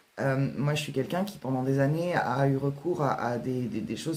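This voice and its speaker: Very deep, low pitch from a woman, her pitch variation ordinary. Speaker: author and writing workshop leader. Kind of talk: casual vlog talk. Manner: fast; hesitant, many fillers.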